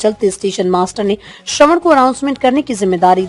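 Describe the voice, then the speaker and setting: This woman has a plain, everyday voice at a medium pitch. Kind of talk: news report narration.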